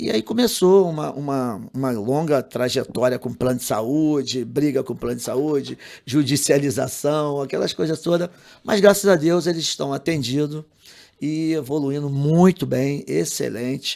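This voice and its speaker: The recording is very clean, with a silent background. A man with a fairly high pitch talks at a fairly slow pace with ordinary pitch variation. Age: 60s. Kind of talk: podcast interview. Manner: halting, repeats words.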